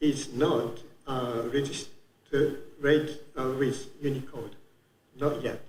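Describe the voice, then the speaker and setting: Very slow speech in a Japanese accent, with fairly even intonation and audible room echo. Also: man. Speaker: conference speaker. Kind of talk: conference talk. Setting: conference room with audience. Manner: halting, many fillers.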